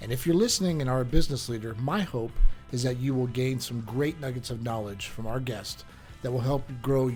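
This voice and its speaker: Music plays in the background as the voice moves at a fairly quick pace with ordinary pitch variation. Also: man. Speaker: podcast host, insurance agency owner. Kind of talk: podcast interview host.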